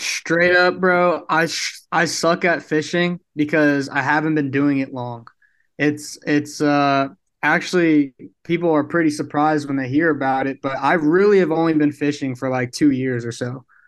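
With an American accent and an unremarkable speaking voice, a man talks at a moderate pace in a fairly high pitch with fairly even intonation over a quiet background. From Brooklyn, New York. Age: young. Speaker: apparel company founder. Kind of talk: casual interview.

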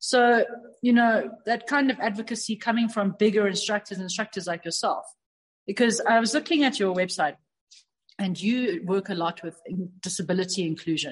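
Against a quiet background, a woman speaks at a fairly quick pace, somewhat breathy and fairly high in pitch. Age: 30s. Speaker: karate instructor. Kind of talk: casual interview conversation.

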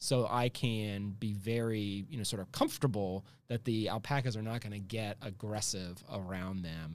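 On a very clean recording with a silent background, a man with an ordinary speaking voice and fairly low pitch talks at a moderate pace, with fairly even intonation and hardly any pauses. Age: 40s. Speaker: healthcare entrepreneur. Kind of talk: interview conversation.

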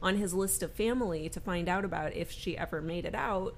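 A woman with an ordinary speaking voice talks at a moderate pace with fairly even intonation. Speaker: podcast co-host. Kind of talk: casual chat.

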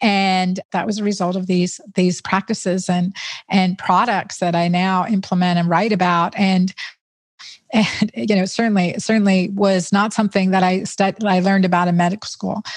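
A woman with a normal speaking voice, medium pitch and a moderate pace. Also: fairly even intonation. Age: 50s. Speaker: physician, gynecologist and author. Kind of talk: interview.

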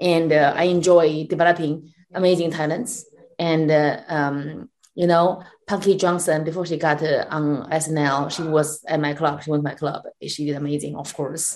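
This woman has a Chinese accent and a very deep, low pitch. She talks at a moderate pace. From China. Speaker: comedian and comedy club owner. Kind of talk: casual interview. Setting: video call. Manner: animated.

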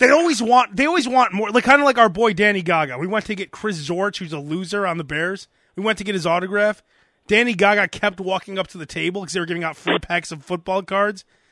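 A man's high-pitched, bright, sharp, raised and projected voice, very fast, with big swings in loudness, on a very clean recording with a silent background. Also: ordinary pitch variation. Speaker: podcast host. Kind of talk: casual comedic banter; mock radio DJ patter, comedic bit. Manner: joking, bantering.

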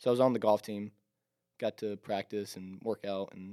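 With an American accent, a man speaks in a dark, mellow tone at a fairly low pitch with monotone, flat intonation, on a very clean recording with a silent background and a dry, close sound with no echo. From upstate South Carolina, Greer. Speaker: college golfer. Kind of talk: casual chat.

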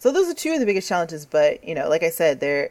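This woman speaks with an American accent. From New York, then Atlanta from age twelve. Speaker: games user researcher. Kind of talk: casual interview. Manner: laughs often, many fillers.

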